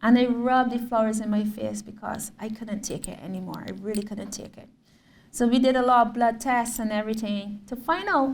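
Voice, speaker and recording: A woman's fairly high, somewhat breathy voice moves at a fairly quick pace, with audible room echo around it. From Barbados. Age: 30s. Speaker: visual artist. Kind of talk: lecture. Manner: animated storytelling.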